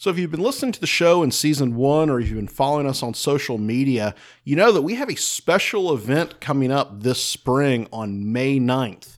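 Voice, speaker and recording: Against a silent background in a very clean recording, a man with an American accent and a fairly high pitch uses a plain, everyday voice, speaking at a moderate pace with lively intonation and hardly any pauses. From North Carolina. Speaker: battlefield guide and podcast co-host. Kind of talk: casual history discussion. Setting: recorded in a saloon.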